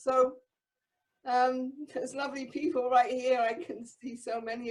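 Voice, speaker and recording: Fairly slow speech from a woman with a high-pitched voice. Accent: English. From England. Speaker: spiritual community member. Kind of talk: group discussion.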